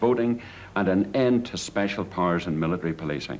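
A man with an Irish accent speaks at a fairly low pitch over light background noise. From Ireland. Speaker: political activist. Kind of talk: documentary interview. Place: office.

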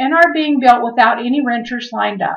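Against a quiet background, a woman speaks in a high voice with ordinary pitch variation. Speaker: real estate agent. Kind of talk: scripted narration. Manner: formal. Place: home room. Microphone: webcam.

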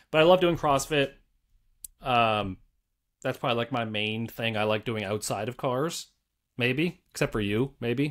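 At a moderate pace and medium pitch, a man speaks with ordinary pitch variation and long, frequent pauses over a quiet background. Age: 30s. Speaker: car YouTuber. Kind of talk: casual chat. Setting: video call. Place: home room.

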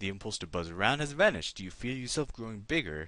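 A passage read aloud in a natural voice

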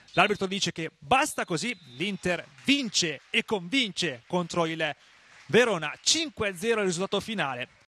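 A man's bright, sharp, high-pitched voice, raised and projected, at a fairly slow pace with lively intonation, in a dry, close sound with no echo. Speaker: match commentator. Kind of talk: live sports commentary. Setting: stadium.

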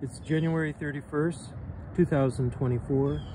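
Noticeable background noise accompanies a man speaking with ordinary pitch variation in a dry sound with no echo. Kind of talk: property walkthrough narration. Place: waterside. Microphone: phone near.

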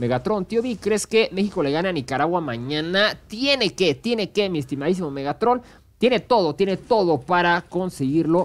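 Speaking at a moderate pace, this man lets his pitch swing very widely. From Mexico. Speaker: gaming streamer and esports caster; gaming streamer. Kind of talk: live commentary. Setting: live stream. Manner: animated. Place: home room. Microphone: headset.

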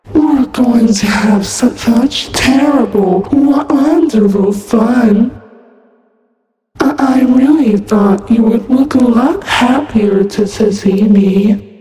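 With strong echo around her, a woman speaks very slowly in a put-on character voice pitched fairly high. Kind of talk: fan voice acting, horror game lines. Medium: solo performance. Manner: sweetly menacing, playful then sinister.

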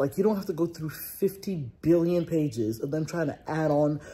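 A woman with a fairly low pitch speaks at a moderate pace in a somewhat breathy, dark, mellow tone with lively intonation. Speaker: lifestyle vlogger. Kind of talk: casual vlog chat. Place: home room. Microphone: phone near.

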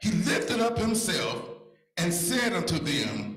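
The man's voice has audible room echo. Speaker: church elder preacher. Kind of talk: sermon scripture reading. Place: church. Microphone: handheld.

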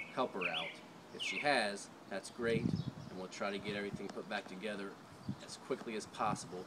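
Loud background noise behind a man talking at a fairly quick pace. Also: ordinary pitch variation. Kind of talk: casual vlog chat. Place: garden. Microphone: camera far.

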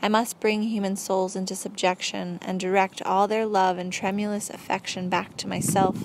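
Here a woman speaks at a medium pitch and a moderate pace. Her intonation is flat and monotone. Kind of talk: audiobook narration, reading a book aloud. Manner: measured, even, formal storytelling pace; earnest, didactic, lecture-like.

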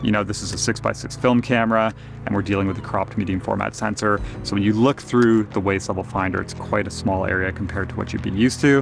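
Clear music plays behind a man talking at a very fast pace. His voice is fairly low-pitched and the sound is dry, with no echo. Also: fairly even intonation. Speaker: camera reviewer. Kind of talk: casual review talk to camera. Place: waterside. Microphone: lapel.

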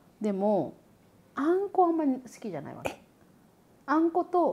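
Her pitch swings very widely as the woman speaks at a moderate pace. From Japan. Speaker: YouTuber and podcast host. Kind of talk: casual chat.

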